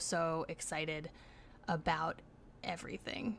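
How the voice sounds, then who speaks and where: A woman in a bright, sharp tone, in a very clean recording with a silent background. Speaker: livestream host. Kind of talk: livestream sign-off chat.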